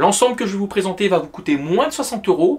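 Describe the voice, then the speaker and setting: Through noticeable background noise, a man with a high voice talks very fast, his pitch swinging very widely. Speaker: fishing youtuber. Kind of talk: outdoor fishing tutorial. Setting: outdoors by a river. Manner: soft-spoken.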